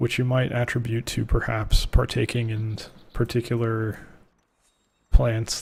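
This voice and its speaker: A soft-spoken, somewhat breathy voice in a relaxed tone at a fairly slow pace. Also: man. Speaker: gaming video creator. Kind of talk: gameplay commentary. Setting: home recording, late at night. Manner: soft-spoken, quiet; relaxed, low energy. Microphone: close to the mic.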